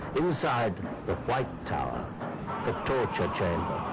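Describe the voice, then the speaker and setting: Music plays in the background as a man talks at a fairly slow pace in a medium pitch. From England. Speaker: actor, documentary host. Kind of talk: documentary narration.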